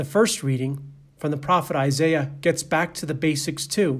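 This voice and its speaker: Amid audible room echo, a man with a Boston accent speaks fairly slowly in a somewhat breathy, fairly high voice with ordinary pitch variation. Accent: Boston American. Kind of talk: sermon.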